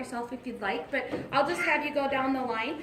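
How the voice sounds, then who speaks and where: Audible room echo surrounds a woman speaking at a fairly quick pace with lively intonation. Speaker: panel moderator. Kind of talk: panel discussion. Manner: loud.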